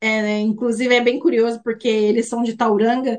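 A woman talks at a high pitch with fairly even intonation. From Brazil, Mogi das Cruzes, São Paulo state. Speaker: immigration and student services worker. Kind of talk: interview.

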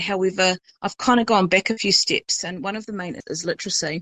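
A medium-pitched woman with a New Zealand accent has a bright, sharp tone in a dry, close recording without echo. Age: 40s. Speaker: high school English teacher. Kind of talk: casual chat. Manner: hesitant, many fillers.

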